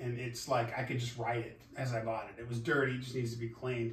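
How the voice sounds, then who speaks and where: Fairly quick speech from a man, with audible room echo. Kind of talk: casual vlog chat. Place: garage. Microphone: camera far.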